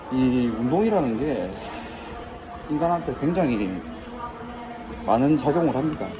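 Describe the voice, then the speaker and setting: A man's fairly high, fairly slow voice with very wide pitch swings and long, frequent pauses, amid audible room echo and music in the background. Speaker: YouTuber, former recluse. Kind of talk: casual vlog monologue. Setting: gym, on cardio machine.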